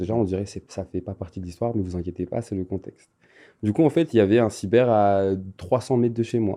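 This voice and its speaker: This man has a fairly low pitch and a dark, mellow tone. He speaks at a fairly quick pace over a quiet background. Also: ordinary pitch variation. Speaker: content creator. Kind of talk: interview. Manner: animated.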